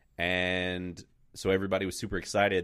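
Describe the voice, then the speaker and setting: A man talks in a very deep, low voice. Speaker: film podcast host. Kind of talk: casual chat. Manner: halting.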